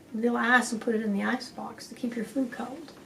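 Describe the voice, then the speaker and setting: A woman speaks at a moderate pace with an American accent, her pitch fairly high and her intonation fairly even. Noticeable background noise sits behind her. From West Texas. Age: 70s. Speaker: author and community speaker. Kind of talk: oral history interview.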